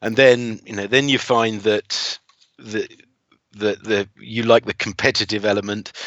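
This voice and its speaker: A man with an English accent talks at a fairly slow pace and a fairly low pitch, his intonation monotone and flat. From England. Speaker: driving instructor. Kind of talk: casual interview.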